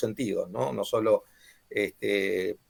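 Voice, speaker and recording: A man speaks with an Argentine accent. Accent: Argentine Spanish (voseo). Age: 60s. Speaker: author and former mayor. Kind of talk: book presentation talk. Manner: halting, many fillers.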